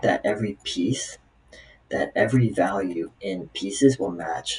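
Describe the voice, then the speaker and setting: A man's fairly low voice with very wide pitch swings, amid noticeable background noise. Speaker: software developer practicing coding problems. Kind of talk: live coding tutorial, thinking aloud. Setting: recording at home on laptop with webcam. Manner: halting, many fillers.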